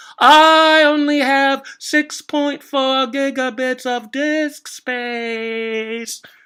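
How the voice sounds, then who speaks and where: A woman uses a put-on character voice at high pitch, very slow yet with hardly any pauses. The recording is very clean, with a silent background. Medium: read story. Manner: polite, airy.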